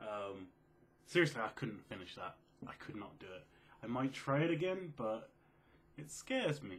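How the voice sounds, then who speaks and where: A quiet man with an English accent and a medium-pitched voice speaks at a moderate pace, with very wide pitch swings, big swings in loudness, and long, frequent pauses. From England. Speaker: gaming video creator. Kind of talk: casual Q&A vlog. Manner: soft-spoken.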